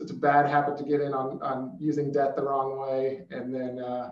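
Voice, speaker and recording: A man speaks with an American accent. The background is quiet, though room echo is audible. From Arizona. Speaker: former NFL player, financial advisor; guest. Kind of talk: panel discussion. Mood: relaxed, friendly. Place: office.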